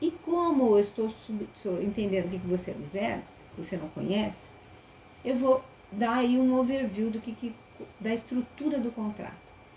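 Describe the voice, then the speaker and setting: Noticeable background noise sits behind this woman's fairly high voice. She keeps a moderate pace with ordinary pitch variation. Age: 60s. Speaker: teacher. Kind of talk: webinar lecture. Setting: online live stream.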